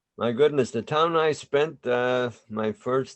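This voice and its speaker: A man talks at a fairly slow pace. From Spain, Galicia, then New York from age 8. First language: Spanish. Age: 60s. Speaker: immigrant interviewee. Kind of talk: oral history interview. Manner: halting, many fillers.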